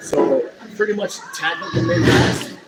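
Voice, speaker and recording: A man's voice with crowd noise in the background. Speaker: professional wrestler. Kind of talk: interview answer.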